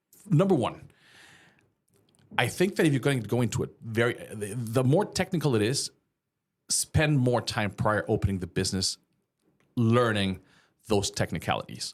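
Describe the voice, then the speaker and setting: A man with a slight Mexican accent talks at a moderate pace in a medium pitch, his voice swinging very widely up and down, with long, frequent pauses. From Mexico. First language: Spanish. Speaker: small business owner. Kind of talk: casual interview chat.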